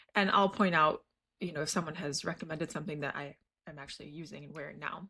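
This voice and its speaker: A woman with a very deep, low pitch and an American accent, talking at a very fast pace, her loudness swinging widely, her tone bright and sharp, her intonation fairly even, on a very clean recording with a silent background. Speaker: lifestyle YouTuber. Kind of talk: casual vlog talk. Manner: conversational, with fillers.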